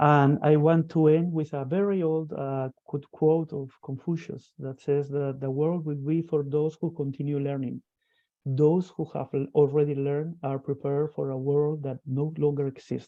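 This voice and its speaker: Someone with a non-native accent speaks at a moderate pace in a monotone, flat intonation. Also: man, fairly high pitch for a man. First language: not English. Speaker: school founder. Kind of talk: presentation. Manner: halting; formal.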